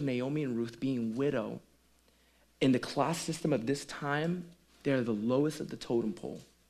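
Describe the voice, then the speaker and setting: Over a quiet background, a man with a Caribbean accent and a fairly high pitch talks at a moderate pace. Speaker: pastor. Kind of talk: sermon.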